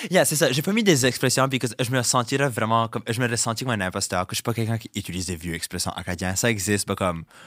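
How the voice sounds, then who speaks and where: A man talks at a very fast pace with hardly any pauses, his tone animated and his intonation lively. The recording is very clean, with a silent background. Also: medium pitch for a man. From Dieppe, New Brunswick (Acadian, southeast). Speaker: drag queen and content creator. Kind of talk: interview. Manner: animated, mixing French and English.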